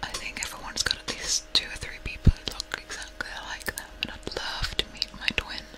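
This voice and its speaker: A soft-spoken woman whispers with hardly any pauses. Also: fairly quick pace. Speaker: ASMR streamer. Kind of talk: soft casual live-stream chat. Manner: soft close-mic ASMR whisper. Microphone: studio mic.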